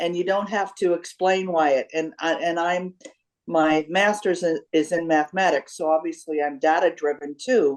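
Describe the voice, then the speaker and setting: An ordinary speaking voice. It moves at a moderate pace with fairly even intonation. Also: woman, fairly low pitch for a woman. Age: 60s. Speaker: retired educator. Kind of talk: group discussion.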